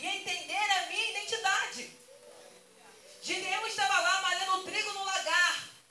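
A woman's extremely high, raised and projected voice, bright and sharp in tone, with fairly even intonation and audible room echo. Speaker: pastor. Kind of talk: sermon.

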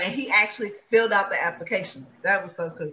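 Background noise is noticeable in this clip. Over it, a woman speaks very fast. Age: 40s. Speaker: podcast co-host. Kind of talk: casual chat.

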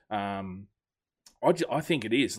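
A man with an Australian accent is heard on a very clean recording against total silence. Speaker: rugby league podcast host. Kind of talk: casual chat.

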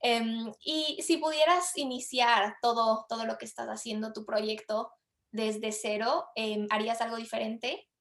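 This woman has an ordinary speaking voice, pitched fairly high with ordinary pitch variation. She talks at a fairly slow pace, and her loudness swings widely. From Latin America. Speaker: podcast host, marketer. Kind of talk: podcast interview.

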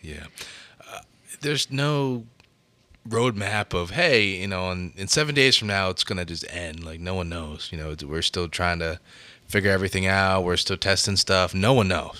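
On a very clean recording with a silent background, a man with a very deep, low pitch and a bright, sharp tone speaks at a moderate pace, with lively intonation and big swings in loudness. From Baltimore. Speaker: podcast co-host. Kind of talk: casual chat.

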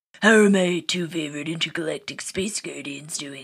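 Delivered at a fairly quick pace, this put-on character voice is gruff and sits at a middle pitch. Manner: gruff, authoritative.

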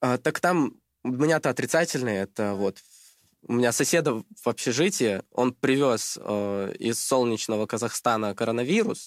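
An unremarkable speaking voice, a man talks at a moderate pace and medium pitch with lively intonation. The sound is dry and close with no echo, on a very clean recording with a silent background. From Russia, Krasnodar Krai. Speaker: chemistry tutor, student. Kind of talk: casual chat.

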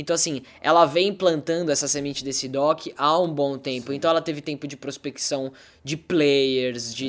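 A normal speaking voice: a man at a fairly high pitch and moderate pace, with ordinary pitch variation, in a very clean recording with a silent background. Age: 20s. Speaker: actor and director. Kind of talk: casual chat.

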